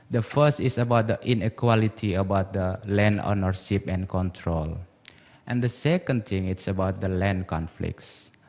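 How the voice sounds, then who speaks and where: A man with an Indonesian accent speaks at a moderate pace. His pitch is fairly low, with ordinary variation. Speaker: civil society representative. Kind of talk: panel discussion.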